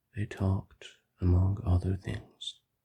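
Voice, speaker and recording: The pace is fairly slow. The speaker is soft-spoken. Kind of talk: classic short story audiobook reading. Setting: recorded in a car while driving. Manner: soft-spoken, ASMR.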